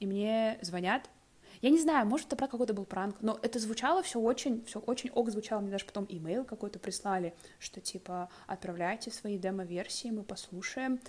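A woman with an unremarkable speaking voice, fairly high pitch, ordinary pitch variation and a moderate pace. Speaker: podcast co-host. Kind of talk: casual conversation.

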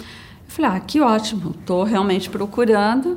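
A woman with a plain, everyday voice, fairly high in pitch, with lively intonation. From São Paulo, Brazil (childhood in Brasília). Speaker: company employee, insurance manager. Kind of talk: personal testimony interview.

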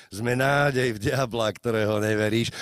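Dry and close with no echo, this recording has a man speaking at a medium pitch. He uses a plain, everyday voice at a fairly slow pace. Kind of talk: slam poetry performance. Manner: rhythmic, declamatory, dense wordplay delivery.

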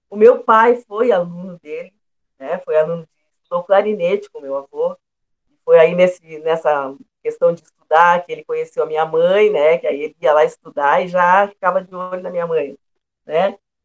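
An ordinary speaking voice at a moderate pace, with ordinary pitch variation and big swings in loudness. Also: woman, fairly low pitch for a woman. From southern Brazil, Pelotas, Rio Grande do Sul. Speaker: singer and retired teacher. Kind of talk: interview.

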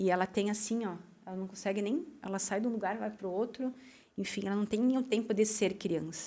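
A woman speaks in a dark, mellow tone at a fairly quick pace. Her pitch variation is ordinary. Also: medium pitch for a woman. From southern Brazil, Rio Grande do Sul. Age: 30s. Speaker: school founder and former finance manager. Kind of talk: interview conversation.

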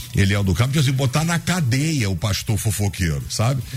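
A medium-pitched man speaks over noticeable background noise. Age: 50s. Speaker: pastor. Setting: radio studio.

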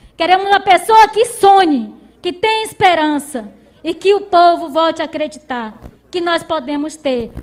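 Over noticeable background noise, a woman speaks at an extremely high pitch with ordinary pitch variation. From Brazil, Maranhão interior. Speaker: rural union leader, farmer. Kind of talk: speech of welcome.

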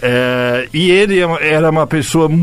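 Speech comes at a very slow pace with ordinary pitch variation. Noticeable background noise and audible room echo fill the recording. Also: man. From United States. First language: English (speaking Portuguese). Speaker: journalist and writer. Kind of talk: interview. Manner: halting.

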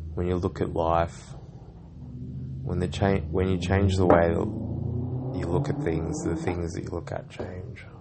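There is noticeable background noise behind a man whose voice is very deep and low. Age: 30s. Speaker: podcaster. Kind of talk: personal diary monologue. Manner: halting.

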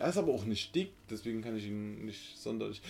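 On a very clean recording with a silent background, a man talks at a fairly quick pace with very wide pitch swings. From Saxony, Germany (central, small village). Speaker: podcast co-host. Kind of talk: casual chat.

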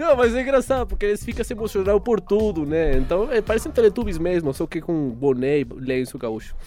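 A man speaks fast, at a fairly quick pace with hardly any pauses, in a dark, mellow tone. His pitch is high and swings very widely. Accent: Venezuelan. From Venezuela. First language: Spanish (speaking Portuguese). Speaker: journalism student. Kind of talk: casual chat.

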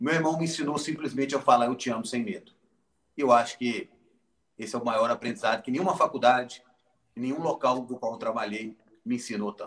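A man's medium-pitched voice at a fairly quick pace, with ordinary pitch variation and long, frequent pauses. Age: 40s. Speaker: founder of a Down syndrome charity. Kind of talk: interview.

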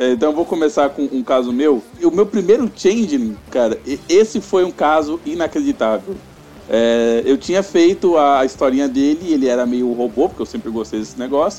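Lively intonation marks a man's fairly high voice as he talks at a moderate pace through noticeable background noise. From São Paulo, Brazil. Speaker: tabletop RPG game master. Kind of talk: casual chat.

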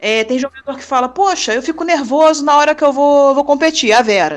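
A high-pitched woman at a fairly quick pace, with lively intonation. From Brazil, Rio de Janeiro city. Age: 30s. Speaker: sports nurse. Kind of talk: interview. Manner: casual.

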